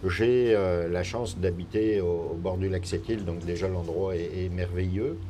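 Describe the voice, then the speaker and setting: A man's very deep, low voice at a fairly slow pace with hardly any pauses and fairly even intonation, amid audible room echo and noticeable background noise. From France. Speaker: politician. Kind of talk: interview. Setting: live broadcast in a parking lot.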